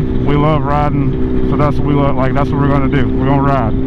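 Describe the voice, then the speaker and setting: Fairly quick speech from a man, in a room with audible echo and noticeable background noise. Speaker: motorcycle vlogger. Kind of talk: casual vlog narration while riding. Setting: outdoors on a motorcycle. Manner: monotone; fast. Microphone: muffled by face covering.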